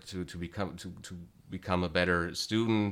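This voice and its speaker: On a very clean recording with a silent background, a man with a very deep, low pitch speaks in a monotone, flat way with a German accent. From Germany, small town. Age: 30s. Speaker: guitar teacher. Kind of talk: interview. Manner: halting.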